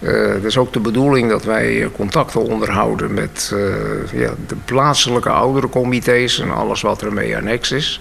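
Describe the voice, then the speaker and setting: Noticeable background noise surrounds a man's voice. He talks at a fairly slow pace. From Bussum, Netherlands. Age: 70s. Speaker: senior council chairman. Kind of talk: radio interview. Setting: studio.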